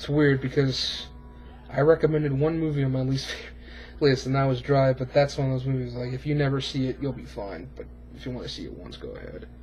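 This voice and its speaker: The pace is very fast. Noticeable background noise runs underneath. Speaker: YouTube film reviewer. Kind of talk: casual monologue review. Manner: slurring words.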